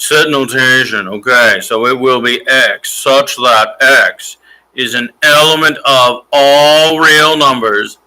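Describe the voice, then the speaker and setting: A man's put-on character voice, nasal and medium-pitched, at a fairly slow pace. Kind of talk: formal, reading set notation aloud. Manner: snobby, pretentious.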